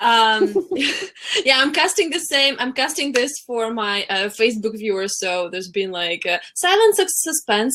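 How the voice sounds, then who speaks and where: A woman with a Russian accent speaks at a high pitch and a moderate pace. Her pitch swings very widely, and there is noticeable background noise. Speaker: coach and former translator. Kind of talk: webinar interview. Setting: live webinar.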